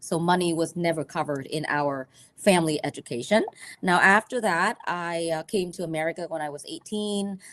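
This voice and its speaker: Pitched fairly low, a woman talks with ordinary variation in pitch. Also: moderate pace. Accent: Vietnamese. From Vietnam. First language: Vietnamese. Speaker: financial advisor. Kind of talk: educational presentation. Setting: livestream video call. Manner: conversational, teacher-like.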